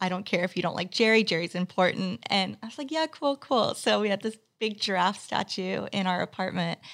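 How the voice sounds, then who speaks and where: With an American accent and vocal fry, a woman talks at a medium pitch with hardly any pauses. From US, Texas and California. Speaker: business owner, video agency founder. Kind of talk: interview, casual chat. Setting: podcast studio.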